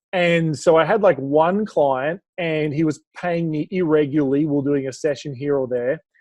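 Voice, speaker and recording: A man speaks with an Australian accent at a moderate pace. His pitch is fairly high and varies an ordinary amount. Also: hardly any pauses. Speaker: business speaker and coach. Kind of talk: podcast interview.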